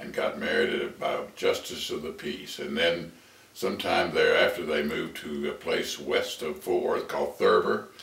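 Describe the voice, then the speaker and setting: The speaker has an American accent and a moderate pace. Noticeable background noise and audible room echo come through. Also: man. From Texas (Houston). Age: 80s+. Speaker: family elder telling life story. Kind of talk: oral history interview. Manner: halting.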